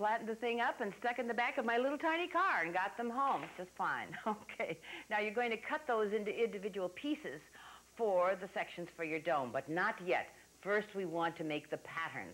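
Her pitch swings very widely. This woman speaks at a fairly quick pace. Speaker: TV craft show host. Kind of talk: tutorial. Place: studio. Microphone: lapel.

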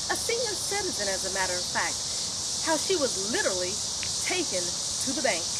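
A woman speaks at a very fast pace but leaves long, frequent pauses. The sound is dry with no echo, though loud background noise is present. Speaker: security company owner. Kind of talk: introduction to camera. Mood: serious, cautionary. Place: garden. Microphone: camera far.

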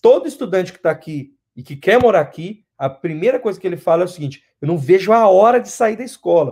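Against a quiet background, a man speaks at a fairly quick pace in a high pitch. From Brazil, São Paulo city. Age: 20s. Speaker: interviewee, Brazilian immigrant; interview guest. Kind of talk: interview; interview answer. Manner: halting, repeats words. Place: home room. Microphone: video call.

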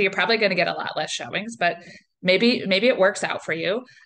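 A woman in an American accent speaks at a fairly quick pace with a bright, sharp tone. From Northeast Ohio. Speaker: realtor. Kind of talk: webinar presentation. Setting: online webinar. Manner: casual, conversational with filler words. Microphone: webcam.

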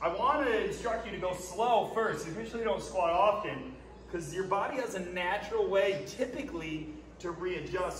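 A man talks at a high pitch with ordinary pitch variation. Music sounds in the background, and room echo is audible. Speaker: fitness coach. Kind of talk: tutorial. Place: gym. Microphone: camera far.

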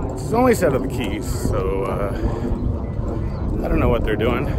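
Loud background noise beneath a male speaker. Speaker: vlogger at a baseball game. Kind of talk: casual vlog chat. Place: street. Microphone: phone near.

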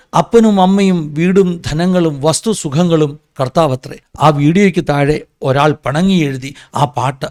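A man speaks in a normal speaking voice, pitched fairly high, with ordinary pitch variation. The sound is dry and close, with no echo. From Kerala, Ranni (Pathanamthitta). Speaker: pastor and commentary vlogger. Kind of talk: opinion commentary monologue.

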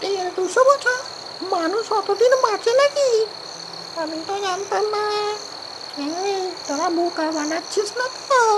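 A cartoonish character voice moves at a moderate pace against loud background noise. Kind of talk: comic cartoon ghost voice. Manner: gruff, condescending, gullible.

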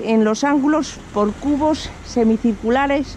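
A woman's high voice at a fairly slow pace with ordinary pitch variation, dry with no echo, over light background noise. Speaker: travel vlogger. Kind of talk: reading an info sign aloud. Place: street. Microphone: phone near.

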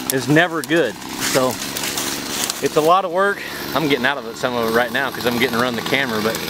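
Loud background noise sits under a dry sound with no echo. A man talks at a fairly quick pace with ordinary pitch variation. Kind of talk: outdoor tutorial vlog. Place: forest. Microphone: phone near.

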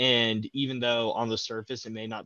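A man with fairly even intonation, in a dry sound with no echo. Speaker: university student. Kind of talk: interview. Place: home room.

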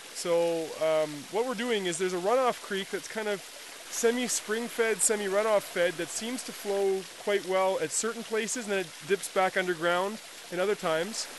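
A man speaks in a high pitch at a moderate pace with fairly even intonation. The sound is dry with no echo, with noticeable background noise. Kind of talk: casual vlog chat. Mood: relaxed, hopeful. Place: forest. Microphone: phone near.

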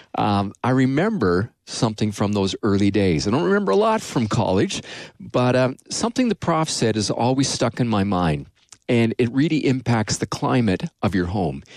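With a Canadian accent, a man speaks at a moderate pace, his pitch swinging very widely. The background is quiet and the sound is dry with no echo. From Canada. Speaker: pastor and radio host. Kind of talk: casual chat; radio sermon. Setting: studio. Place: studio. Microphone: studio mic.

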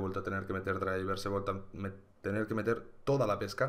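A man speaks with a fairly low pitch. His intonation stays flat and monotone. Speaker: gaming youtuber. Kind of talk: casual vlog update. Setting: home recording at computer. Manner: soft-spoken. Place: home room. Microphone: webcam.

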